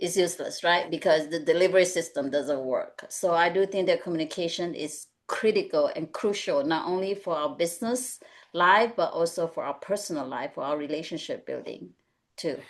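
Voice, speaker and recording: Woman's fairly low voice in a Mandarin accent, with ordinary pitch variation at a moderate pace. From Malaysia. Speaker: executive coach. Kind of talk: webinar panel discussion.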